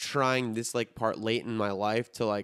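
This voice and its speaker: A man with a Chicago accent speaks at medium pitch and a fairly slow pace, his tone bright and sharp. The sound is dry and close, with no echo. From Chicago area, US Midwest (Highland Park). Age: 30s. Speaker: podcast host. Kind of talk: casual chat.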